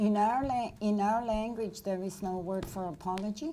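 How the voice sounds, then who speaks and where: In a room with audible echo, the voice has a dark, mellow tone, ordinary pitch variation and a moderate pace. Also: woman. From Nova Scotia, Canada. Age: 70s. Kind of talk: lecture Q&A.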